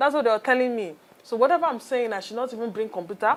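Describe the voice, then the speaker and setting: With a Nigerian accent, a woman speaks at a fairly high pitch with lively intonation. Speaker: entrepreneur. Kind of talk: interview.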